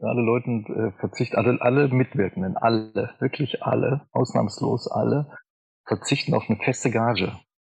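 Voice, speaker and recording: A man talks fairly quickly at a medium pitch, his intonation fairly even. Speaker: cabaret artist and composer. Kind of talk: interview.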